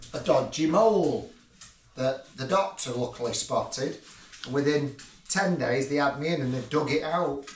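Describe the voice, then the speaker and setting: There is audible room echo and noticeable background noise around a man. He speaks at a moderate pace with a fairly high pitch and ordinary pitch variation. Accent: northern English. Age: 60s. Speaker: retired builder, father of the host. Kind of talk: casual chat.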